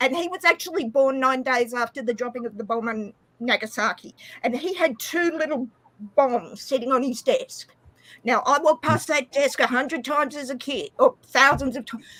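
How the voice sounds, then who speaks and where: A woman's high, bright, sharp voice in an Australian accent, at a moderate pace with ordinary pitch variation. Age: 40s. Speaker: live stream participant. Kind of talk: casual chat.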